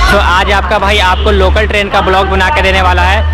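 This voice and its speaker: Over loud background music, a man speaks at a moderate pace, the sound dry with no echo. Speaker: travel vlogger. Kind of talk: casual vlog chat. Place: station. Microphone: phone near.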